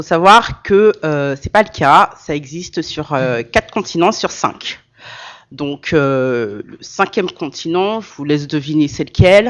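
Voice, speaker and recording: A woman speaks very slowly in a very deep, low voice, her loudness swinging widely. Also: lively intonation. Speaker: association president and social care manager. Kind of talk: conference talk. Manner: loud, carrying voice; hesitant, many fillers.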